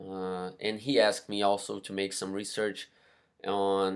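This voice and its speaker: Flat, monotone intonation carries a Brazilian Portuguese accent in a very clean recording with a silent background. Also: man. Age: 20s. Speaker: university student. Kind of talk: class presentation. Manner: halting, many fillers.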